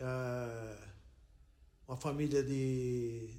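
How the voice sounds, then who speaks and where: A man with a medium pitch talks, and audible room echo surrounds his voice. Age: 70s. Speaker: retired airline worker. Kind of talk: interview testimony.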